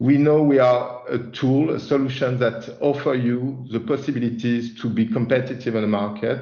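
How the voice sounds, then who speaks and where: A man with a medium pitch talks at a moderate pace with hardly any pauses. His intonation is monotone and flat. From France. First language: French. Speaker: chief product officer presenting a software release. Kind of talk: webinar presentation. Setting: online webinar. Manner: halting, many fillers and repetitions.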